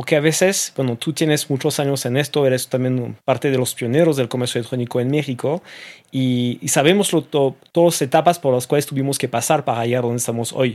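Fairly quick and medium in pitch, a man's speech moves along. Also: fairly even intonation. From France. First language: French (speaking Spanish). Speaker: e-commerce association executive. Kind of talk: interview conversation.

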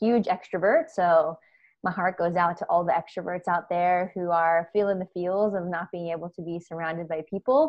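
A woman speaks with an American accent in a normal speaking voice. Her pitch is medium, with ordinary pitch variation. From US. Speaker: play expert and culture consultant. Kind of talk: casual interview conversation. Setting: video call from home office during lockdown.

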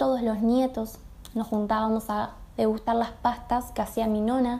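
In a Rioplatense accent, the speaker goes at a fairly slow pace with fairly even intonation. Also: woman. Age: 20s. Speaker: nutrition student and pastry entrepreneur. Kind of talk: recorded personal testimony.

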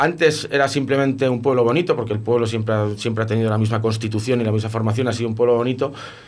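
Fairly even intonation runs through an unremarkable speaking voice from a man at a medium pitch. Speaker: beekeeper. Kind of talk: casual radio interview.

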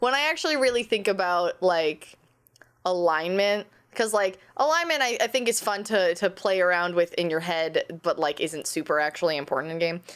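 A woman with an unremarkable speaking voice talks at medium pitch and a moderate pace. Her loudness is very even and her intonation lively. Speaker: podcast host. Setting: video call.

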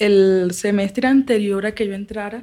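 Somewhat breathy, a woman speaks at medium pitch and a fairly slow pace. Her intonation is fairly even. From Barranquilla, Colombian Caribbean coast. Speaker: former guerrilla combatant, theatre maker. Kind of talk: interview testimony. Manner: halting, with repetitions.

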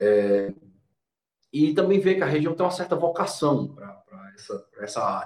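This man's high voice swings very widely in pitch and varies greatly in loudness as he speaks at a moderate pace. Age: 30s. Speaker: law professor. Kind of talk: explanatory lecture-style conversation.

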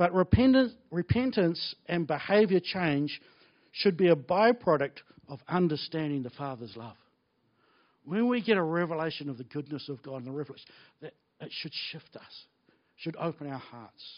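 Speaking with a New Zealand accent, a man uses a fairly high pitch and lively intonation at a moderate pace, with long, frequent pauses and big swings in loudness. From New Zealand (Blenheim). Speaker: pastor. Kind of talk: sermon. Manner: animated.

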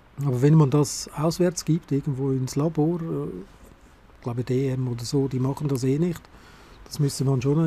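A man's fairly high, somewhat breathy voice with a dark, mellow tone, ordinary pitch variation and a fairly slow pace. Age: 50s. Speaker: analogue photography podcaster. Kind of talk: solo monologue podcast. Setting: outdoors on a covered balcony terrace in snowfall. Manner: casual, with hesitations.

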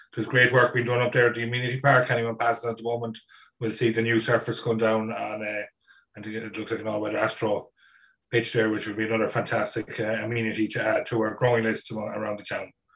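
In an Irish accent, a man talks at a very fast pace with a medium pitch and a monotone, flat intonation over a quiet background. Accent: Irish (Mayo). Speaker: podcast host. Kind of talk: casual chat, interview.

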